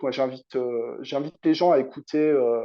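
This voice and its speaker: A man with ordinary pitch variation talks at a moderate pace in a fairly high pitch. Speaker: hypnotherapist. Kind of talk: interview conversation.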